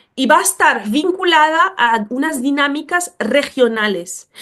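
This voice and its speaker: A woman's pitch swings very widely, and the background stays quiet. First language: not Spanish (speaking Spanish). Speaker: speaker on racism and education. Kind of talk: lecture. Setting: webinar. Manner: hesitant, with fillers.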